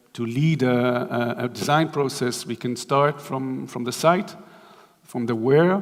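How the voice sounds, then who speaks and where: There is noticeable background noise behind a man speaking at a fairly slow pace. His medium pitch shows ordinary variation. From Israel. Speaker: architect. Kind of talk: lecture. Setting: stage with audience. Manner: halting, many fillers.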